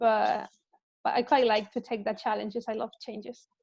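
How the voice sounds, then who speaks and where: Talking at a moderate pace, a woman with a Spanish accent uses a fairly high pitch and fairly even intonation. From Spain. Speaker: health and wellbeing coach and researcher. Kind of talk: casual interview chat. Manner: halting, with fillers.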